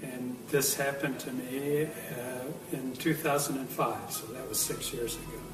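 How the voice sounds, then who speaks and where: Over music in the background, a man speaks at a fairly slow pace with hardly any pauses, and the room echo is audible. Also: fairly high pitch for a man, fairly even intonation. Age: 70s. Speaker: near-death experience witness. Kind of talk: testimony. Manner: halting.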